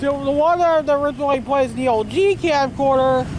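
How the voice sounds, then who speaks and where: Mumbling at a moderate pace, a woman speaks at a high pitch with an American accent and fairly even intonation. Noticeable background noise is present. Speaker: vlogger. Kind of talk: casual monologue vlog. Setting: outdoors. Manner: rambling, hesitant with repetitions.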